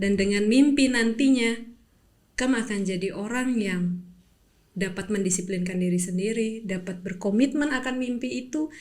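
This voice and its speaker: A woman speaks in a somewhat breathy voice at a medium pitch and moderate pace. Her pitch varies in an ordinary way, and there is audible room echo. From Papua, Indonesia. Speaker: athlete. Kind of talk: interview. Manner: motivational.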